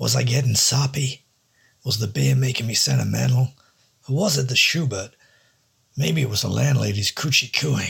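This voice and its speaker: Here a man uses a plain, everyday voice at medium pitch and a moderate pace. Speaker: audiobook-style narrator reading a noir story. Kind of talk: noir first-person narration, read aloud. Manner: measured, dry, wry.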